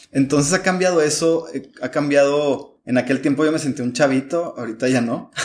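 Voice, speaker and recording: A man with a fairly high pitch talks at a fairly quick pace. His is a plain, everyday voice with ordinary pitch variation. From Mexico, Chihuahua. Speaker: migrant shelter director. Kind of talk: interview.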